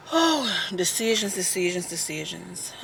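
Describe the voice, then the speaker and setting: This woman talks with an American accent at a medium pitch. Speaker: lifestyle blogger and vlogger. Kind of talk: casual vlog talk to camera. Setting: in a car. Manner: chatty, conversational.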